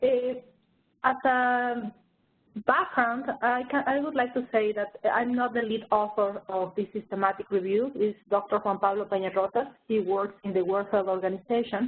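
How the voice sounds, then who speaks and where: At a moderate pace, a woman talks in an ordinary speaking voice, fairly high in pitch with ordinary variation. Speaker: research director presenting a review. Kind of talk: webinar presentation. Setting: online webinar.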